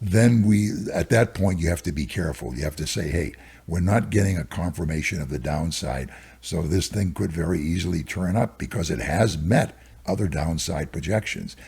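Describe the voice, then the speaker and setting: A man with a very deep, low voice talks at a moderate pace with lively intonation and vocal fry. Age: 80s+. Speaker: stock market cycles analyst. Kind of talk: interview.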